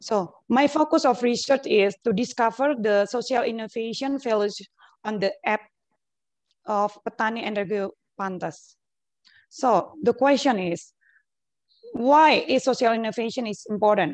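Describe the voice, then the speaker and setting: With an Indonesian accent, a woman speaks at a moderate pace in a fairly high pitch, with ordinary pitch variation and long, frequent pauses. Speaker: academic researcher. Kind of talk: conference presentation. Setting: video call.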